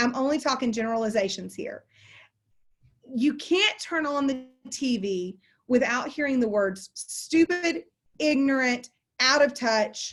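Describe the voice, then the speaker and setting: In a Southern US accent, a woman with a high pitch speaks at a fairly slow pace with lively intonation and long, frequent pauses. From Texas. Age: 40s. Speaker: continuing education instructor, closing attorney. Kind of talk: online lecture.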